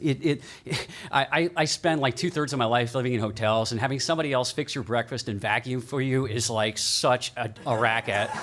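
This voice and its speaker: A man goes at a fairly quick pace, and noticeable background noise is present behind him. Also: medium pitch for a man, ordinary pitch variation. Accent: American. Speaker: keynote speaker, media lawyer. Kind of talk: keynote talk. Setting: stage with audience. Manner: loud; casual, interactive.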